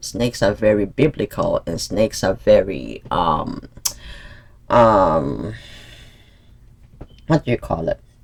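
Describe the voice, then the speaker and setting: A man is speaking. His pace is very slow. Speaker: tarot reader. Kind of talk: casual monologue to viewers. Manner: hesitant, many fillers.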